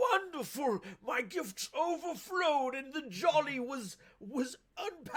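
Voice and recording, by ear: At a fairly slow pace, a put-on character voice speaks at a high pitch.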